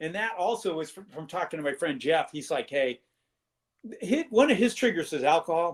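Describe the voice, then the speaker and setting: A man talks at a moderate pace in a high voice. His loudness swings widely. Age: 60s. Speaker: patient sharing health story. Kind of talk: interview testimony. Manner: halting, many fillers.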